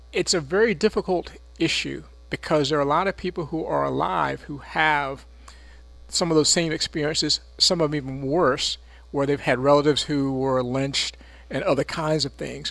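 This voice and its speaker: The recording is very clean with a silent background as a man talks at a moderate pace. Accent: American. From North Carolina, Chapel Hill. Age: 60s. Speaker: city mayor. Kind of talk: radio interview.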